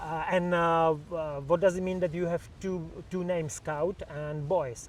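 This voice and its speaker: The speaker has a Czech accent and a fairly slow pace. Intonation is fairly even. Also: man, high pitch for a man. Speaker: podcast host. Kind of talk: interview questions.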